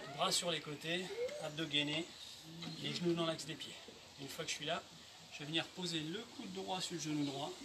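Over a loud wash of background noise, a man keeps to a moderate pace. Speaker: fitness instructor. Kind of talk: exercise class instruction. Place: garden. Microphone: camera far.

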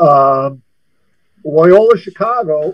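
A man with an American accent against a quiet background. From US Midwest. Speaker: former college basketball coach. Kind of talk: casual interview. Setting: studio. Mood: relaxed, reminiscing. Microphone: video call.

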